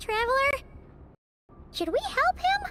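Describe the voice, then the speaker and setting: Here is a put-on character voice pitched extremely high. It sounds squeaky. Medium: video game.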